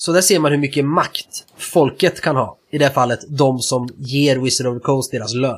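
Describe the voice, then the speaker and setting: Somewhat breathy and fairly high, a man's voice moves at a moderate pace with hardly any pauses and ordinary pitch variation. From Sweden. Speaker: tabletop roleplaying game podcast co-host. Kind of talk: casual chat.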